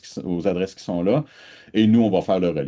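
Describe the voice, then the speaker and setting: A man's voice over a quiet background. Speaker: research institute representative. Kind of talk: online presentation pitch. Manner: hesitant, many filler sounds.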